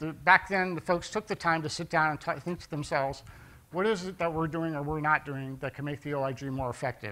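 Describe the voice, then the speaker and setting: Bright and sharp in tone, a man talks at a fairly quick pace. His pitch variation is ordinary. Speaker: conference presenter. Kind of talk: conference talk. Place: hall. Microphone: handheld.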